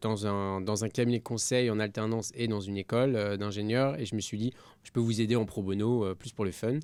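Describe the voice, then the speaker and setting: A man's fairly low voice, an ordinary speaking voice, at a fairly quick pace with hardly any pauses and big swings in loudness, on a very clean recording with a silent background. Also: fairly even intonation. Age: 20s. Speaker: entrepreneur, company CEO. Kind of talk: podcast interview.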